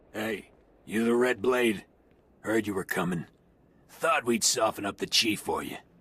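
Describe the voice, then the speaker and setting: A man puts on a raspy character voice at a medium pitch. He keeps a moderate pace with long, frequent pauses. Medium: video game. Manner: brusque, curt.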